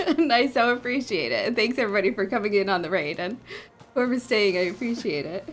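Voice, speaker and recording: A woman races along at a very fast pace, her intonation lively, against noticeable background noise. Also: fairly high pitch for a woman. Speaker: game streamer. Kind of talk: casual live-stream chat. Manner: hesitant, many fillers.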